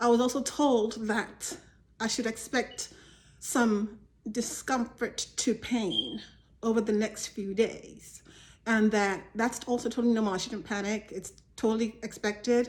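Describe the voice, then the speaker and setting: A woman speaks at a fairly slow pace. Her fairly high voice is somewhat breathy. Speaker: vlogger. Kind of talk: personal vlog. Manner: casual, halting.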